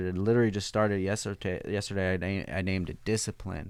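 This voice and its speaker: The background is silent and the recording very clean. It is a man talking. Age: 40s. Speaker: podcast host and shop owner. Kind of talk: casual chat. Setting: shop. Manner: animated.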